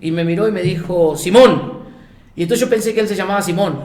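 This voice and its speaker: Speaking fairly quickly with an Argentine accent, a man uses a high pitch and ordinary pitch variation. Audible room echo and noticeable background noise surround him. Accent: Argentine accent, noticed by Mexicans. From Argentina, Buenos Aires province (small coastal town). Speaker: missionary. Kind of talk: casual interview, anecdotes. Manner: animated storytelling.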